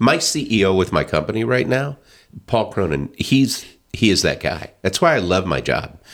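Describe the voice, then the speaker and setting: Vocal fry and very wide pitch swings come through on a very clean recording with a silent background. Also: man, fairly low pitch for a man, moderate pace. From US South (Northwest Arkansas). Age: 50s. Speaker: county councilman and business executive. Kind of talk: casual interview chat. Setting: studio.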